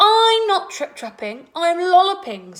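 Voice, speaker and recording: Extremely high-pitched put-on character voice from a woman, delivered fairly slowly. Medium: read story.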